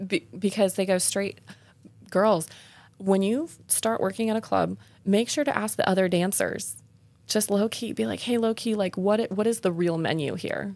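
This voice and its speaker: A woman of medium pitch speaks in a normal speaking voice. Her pace is moderate, with ordinary pitch variation. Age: 30s. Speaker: podcast host and exotic dancer. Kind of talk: casual chat.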